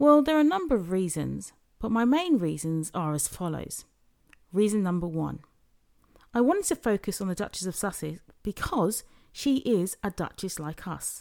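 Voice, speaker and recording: A very wide-ranging, swooping pitch in a British accent, at a moderate pace with long, frequent pauses, on a very clean recording with a silent background. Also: woman. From UK. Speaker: podcast host. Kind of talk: solo podcast monologue.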